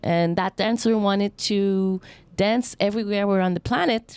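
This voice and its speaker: In a Quebec accent, a woman talks at a medium pitch and moderate pace, the recording very clean with a silent background and a dry, close sound with no echo. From Montreal, Quebec. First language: French. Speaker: dancer and acrobat. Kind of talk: interview.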